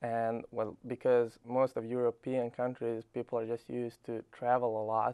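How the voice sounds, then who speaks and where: In a Serbian accent, a man with a dark, mellow tone and medium pitch speaks in a monotone, flat way, the sound dry and close with no echo. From Serbia, Belgrade. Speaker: college tennis player. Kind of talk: interview.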